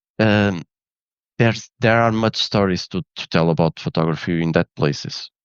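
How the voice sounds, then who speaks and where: A man's fairly low voice, with lively intonation, at a moderate pace. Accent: Portuguese. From Portugal. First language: Portuguese. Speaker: photographer and engineer. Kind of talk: interview. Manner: halting.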